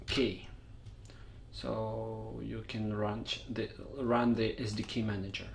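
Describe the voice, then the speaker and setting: Through audible room echo, a man with a Russian accent speaks at a very slow pace. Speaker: software tutorial maker. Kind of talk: tutorial. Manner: casual, unscripted.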